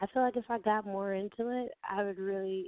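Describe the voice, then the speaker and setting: A normal speaking voice from a woman with an American accent, medium pitch and ordinary pitch variation. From upstate New York (Albany). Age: 20s. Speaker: aspiring singer, model and actress. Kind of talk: interview.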